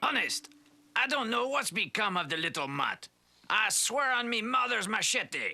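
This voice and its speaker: A man's put-on character voice, extremely high-pitched, in a French accent at a moderate pace. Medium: short film. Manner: nervous, stammering.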